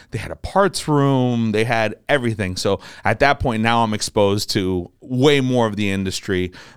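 In an American accent, a man with a normal speaking voice and medium pitch talks with hardly any pauses on a very clean recording with a silent background. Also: ordinary pitch variation, moderate pace. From New Jersey. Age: 20s. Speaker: aviation parts dealer. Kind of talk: casual interview.

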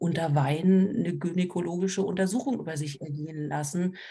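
This woman has a fairly low pitch and a dark, mellow tone that is somewhat breathy. She speaks at a moderate pace with ordinary pitch variation. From Berlin. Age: 40s. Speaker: trauma counselor and social worker. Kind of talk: casual chat.

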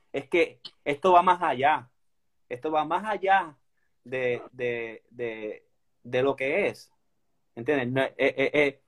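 This man speaks at a very slow pace with long, frequent pauses. His voice is fairly high for a man, with ordinary pitch variation. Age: 30s. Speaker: inline skater. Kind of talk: interview.

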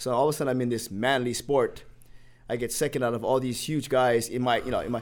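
In a very clean recording with a silent background, a man with a Hawaiian accent talks at a very fast pace in a monotone, flat intonation. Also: medium pitch for a man. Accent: Hawaii local English. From Hawaii, Honolulu. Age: 50s. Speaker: personal trainer. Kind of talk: casual chat.

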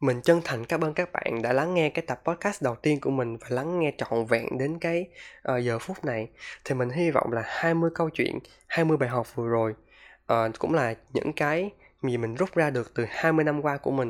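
The speaker has a normal speaking voice, talking at a moderate pace with ordinary pitch variation. The recording is very clean, with a silent background. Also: man, fairly high pitch for a man. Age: 20s. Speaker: podcaster. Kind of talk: personal monologue podcast.

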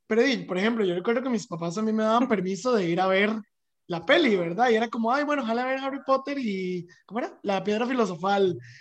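The speech comes at a very fast pace. The background is quiet. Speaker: podcast host. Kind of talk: casual chat. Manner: halting.

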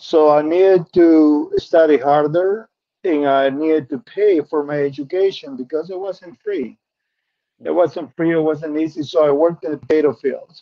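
A man talks with a Spanish accent at a moderate pace. His pitch is fairly high and his intonation fairly even. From Peru. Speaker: insurance benefits specialist. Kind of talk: interview. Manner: calm.

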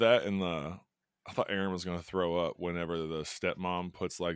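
Very deep and low, a man's voice carries an animated tone and a Southern US accent at a moderate pace in a very clean recording with a silent background. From US South, Kentucky. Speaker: high school teacher and horror podcast host. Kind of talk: casual chat. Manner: animated, joking.

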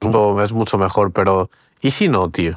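The man's voice sits fairly low in pitch and sounds dry and close, with no echo. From Portugal, raised in Spain from age six. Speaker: podcast co-host. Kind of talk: casual chat. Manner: halting, many repetitions and fillers.

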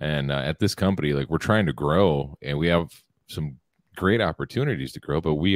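A man with a very deep, low pitch and vocal fry talks at a fairly quick pace with ordinary pitch variation, recorded in a dry, close sound with no echo. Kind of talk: casual chat. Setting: live stream with chat.

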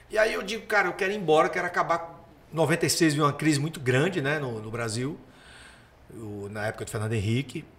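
At a fairly quick pace, a man speaks with a fairly high pitch and very wide pitch swings. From Paraíba, Brazilian Northeast. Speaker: comedian. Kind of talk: casual chat.

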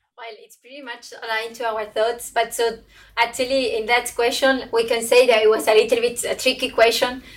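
A woman's fairly high voice in a Spanish accent, fairly quick and monotone, with big swings in loudness. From southern Spain. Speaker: brewing company sustainability manager. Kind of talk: panel discussion.

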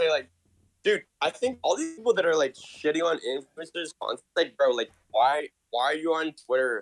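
At a moderate pace, a man speaks with a plain, everyday voice pitched fairly high. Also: lively intonation, dry, close sound with no echo. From Canada. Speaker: NFT collector and marketer. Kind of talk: casual chat.

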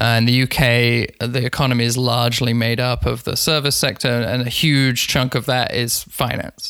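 Over noticeable background noise, a man with a London accent speaks in a monotone, flat intonation. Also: medium pitch for a man, moderate pace. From London, England. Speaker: digital communications expert and podcaster. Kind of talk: casual interview.

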